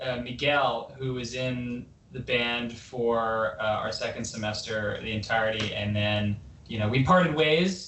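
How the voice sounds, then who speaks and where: A man with a Canadian accent speaks at a medium pitch and a fairly slow pace, with lively intonation. Audible room echo and noticeable background noise are present. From Vancouver, Canada. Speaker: rock band member. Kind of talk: casual chat. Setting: video call.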